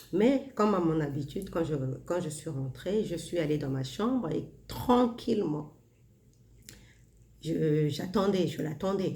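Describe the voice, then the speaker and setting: Soft-spoken and somewhat breathy, a woman talks at a very slow pace with long, frequent pauses, her fairly low voice dark and mellow. Her intonation is lively, and the room echo is audible. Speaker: self-help vlogger. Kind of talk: casual monologue.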